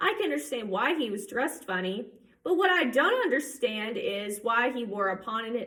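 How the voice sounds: The speaker uses a natural reading voice.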